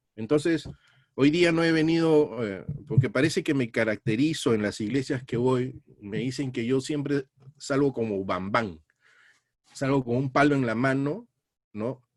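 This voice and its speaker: At a fairly slow pace with long, frequent pauses, a man speaks at medium pitch with ordinary pitch variation. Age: 60s. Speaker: Bible teacher. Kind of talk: sermon.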